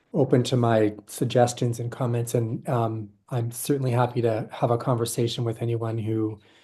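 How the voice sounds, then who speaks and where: With a quiet background, a man speaks in a dark, mellow, somewhat breathy voice with monotone, flat intonation. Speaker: board member and governance presenter. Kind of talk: presentation. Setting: virtual session.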